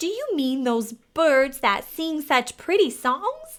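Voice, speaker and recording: A loud, put-on character voice from a woman, high-pitched and at a fairly slow pace. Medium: read story. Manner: loud, blaring.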